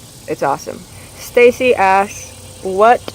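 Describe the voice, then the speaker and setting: An American accent with ordinary pitch variation, over noticeable background noise. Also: woman. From US Midwest, Indiana. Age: 20s. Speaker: vlogger. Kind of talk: casual Q&A vlog.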